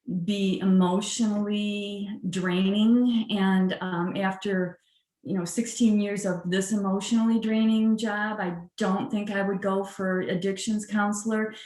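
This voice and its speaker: Audible room echo surrounds a woman's medium-pitched voice, delivered in a monotone, flat way. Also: fairly slow pace. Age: 60s. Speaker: judge. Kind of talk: casual interview. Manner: hesitant fillers (um).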